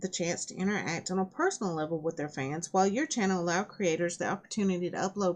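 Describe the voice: A text is read aloud plainly. Nothing more is added to the reading.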